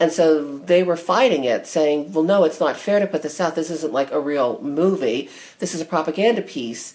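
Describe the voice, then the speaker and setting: A woman's very deep, low voice with a General American accent, moderate pace, hardly any pauses and ordinary pitch variation. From United States. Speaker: podcast host and knitting teacher. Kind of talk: casual interview chat.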